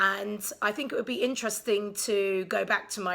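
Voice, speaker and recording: Fairly even intonation, a moderate pace, and a bright, sharp tone. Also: woman. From England, London. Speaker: vlogger. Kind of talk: casual vlog monologue. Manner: hesitant, many ums; sarcastic, deadpan.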